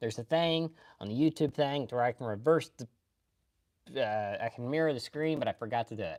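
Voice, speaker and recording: With a Kentucky accent, the speaker moves at a fairly quick pace broken by long, frequent pauses, in a very clean recording with a silent background. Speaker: anime streamer. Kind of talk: casual live stream chat. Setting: live stream.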